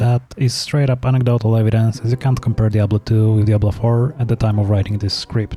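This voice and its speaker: Speaking at a fairly quick pace, a man with a non-native accent has lively intonation. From Central/Eastern Europe. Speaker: gaming YouTuber. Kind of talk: scripted narration. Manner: casual.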